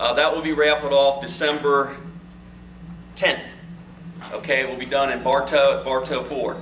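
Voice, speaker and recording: A fairly high-pitched man speaks in a monotone, flat way at a moderate pace, with long, frequent pauses. Noticeable background noise and audible room echo fill the recording. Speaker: fisheries biologist. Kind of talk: presentation to club meeting. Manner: loud.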